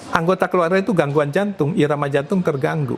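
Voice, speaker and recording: Over noticeable background noise, a man talks fairly quickly at a fairly high pitch with lively intonation. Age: 70s. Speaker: medical doctor. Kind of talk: podcast interview.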